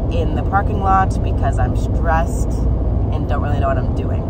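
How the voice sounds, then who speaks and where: A woman speaks in a dry sound with no echo, set against loud background noise. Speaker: vlogger. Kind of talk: casual vlog chat. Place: car. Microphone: phone near.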